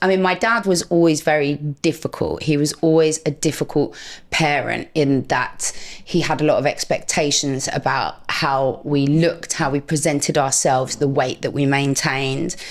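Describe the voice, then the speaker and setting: In a London accent, a woman speaks with a very deep, low pitch. Her loudness stays very even. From North London, England. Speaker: anonymous social media personality, former social worker. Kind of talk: interview conversation.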